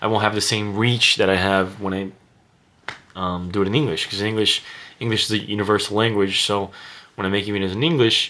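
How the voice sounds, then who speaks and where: A man with a Portuguese accent, fairly low-pitched, at a very fast pace with fairly even intonation and long, frequent pauses. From Brazil. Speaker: vlogger. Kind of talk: casual monologue to camera. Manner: hesitant, many fillers.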